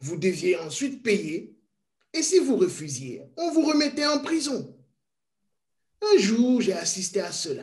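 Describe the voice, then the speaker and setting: At a very slow pace, a man speaks at an extremely high pitch. His pitch swings very widely. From Congo, Kasaï. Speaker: witness of colonial era. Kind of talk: testimony.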